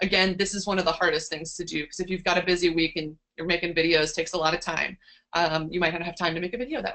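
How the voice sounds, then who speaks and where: Talking at a very fast pace, a woman with a fairly low voice and a bright, sharp tone keeps her intonation fairly even while her loudness swings widely. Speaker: science communicator, seminar speaker. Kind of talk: online seminar talk.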